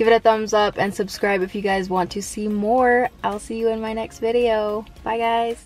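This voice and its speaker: A woman at a moderate pace, in a dry sound with no echo. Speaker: vlogger. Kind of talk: casual vlog chat. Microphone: phone near.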